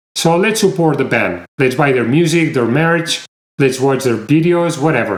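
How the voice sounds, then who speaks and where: A man's voice, moderate in speed, with ordinary pitch movement. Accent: Spanish. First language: Spanish. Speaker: music reviewer. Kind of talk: video review. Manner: animated.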